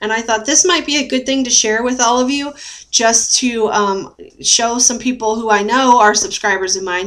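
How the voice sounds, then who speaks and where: This woman has a normal speaking voice at a fairly high pitch. She keeps a moderate pace with ordinary pitch variation. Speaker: weight loss surgery patient; vlogger sharing surgery routine. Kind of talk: casual talk to camera. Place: home room. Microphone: webcam.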